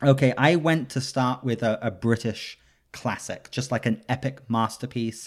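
A man with an English accent, fairly even intonation and a moderate pace, on a very clean recording with a silent background. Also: medium pitch for a man. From England. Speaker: podcast host. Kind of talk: casual chat.

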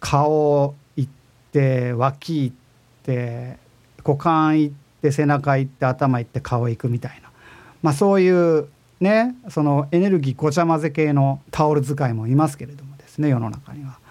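A man with a plain, everyday voice, fairly high in pitch, at a fairly slow pace with ordinary pitch variation and big swings in loudness, over a very clean, silent background. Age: 40s. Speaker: podcast host and music composer. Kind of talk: casual web radio monologue. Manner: relaxed, laid-back.

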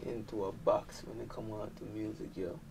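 A man speaks with a Jamaican accent and a dark, mellow tone. He keeps a moderate pace. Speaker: dancehall artist. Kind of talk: casual interview chat.

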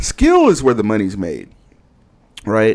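The recording is very clean, with a silent background. A man with an American accent speaks at medium pitch in an animated tone. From Texas, Houston. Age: 30s. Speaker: podcast host. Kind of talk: casual monologue.

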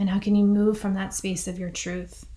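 Monotone, flat intonation comes through in a somewhat breathy voice. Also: woman. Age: 40s. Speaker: podcast host and meditation teacher. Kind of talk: reflective monologue with guided grounding. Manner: soft-spoken.

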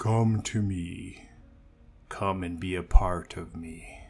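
A man performs a put-on character voice, rumbling and very deep, at a very slow pace. His loudness swings widely on a very clean recording with a silent background. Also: fairly even intonation. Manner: eerie, summoning.

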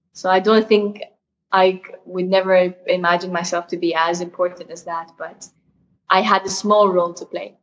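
In an Arabic accent, a woman speaks at a moderate pace and medium pitch with monotone, flat intonation and big swings in loudness. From Saudi Arabia, Jeddah. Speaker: mountaineer. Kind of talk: interview.

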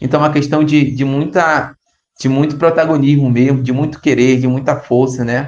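This is an unremarkable speaking voice. It moves at a moderate pace with fairly even intonation. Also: man. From Brazil, Arapiuns river, Pará. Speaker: youth pastoral organizer. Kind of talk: interview over messaging app. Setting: recorded remotely via app.

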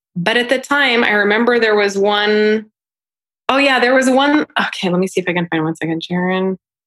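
A woman talks at a fairly quick pace and a fairly high pitch, with ordinary pitch variation. It is a plain, everyday voice. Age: 30s. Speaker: singer-songwriter and voiceover artist. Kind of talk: casual chat. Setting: video call.

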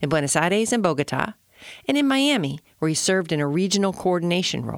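Against a silent background in a very clean recording, a woman speaks with lively intonation. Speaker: podcast host. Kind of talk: interview.

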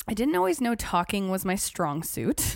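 Over a silent background in a very clean recording, a woman with a plain, everyday voice talks at a fairly quick pace with ordinary pitch variation. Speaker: podcast host. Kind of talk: casual chat.

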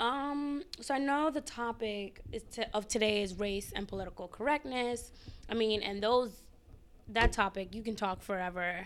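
Here is an ordinary speaking voice from a woman with an American accent. She is fairly high in pitch and keeps a moderate pace. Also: ordinary pitch variation. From New York City, the Bronx. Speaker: graduate student. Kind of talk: casual interview about politics.

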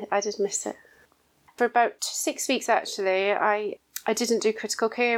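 On a very clean recording with a silent background, a woman with a Scottish accent speaks at a fairly slow pace in a fairly high pitch with monotone, flat intonation. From Scotland. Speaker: intensive care nurse matron. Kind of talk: interview.

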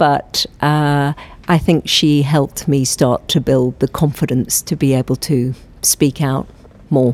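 A woman's very deep, low voice at a fairly slow pace, monotone and flat, in a dry, close sound with no echo. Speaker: professor. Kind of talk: interview.

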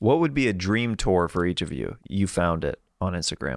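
Over a very clean recording with a silent background, a man with an American accent speaks in a very deep, low pitch with lively intonation. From US Midwest. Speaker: podcast host. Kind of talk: casual chat.

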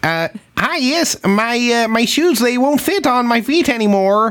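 A put-on character voice, female-sounding and high-pitched for a woman, moves at a fairly slow pace.

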